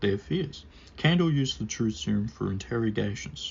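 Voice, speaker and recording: Somewhat breathy, a man of medium pitch talks at a fairly quick pace. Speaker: book reviewer. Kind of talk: scripted book review read to camera.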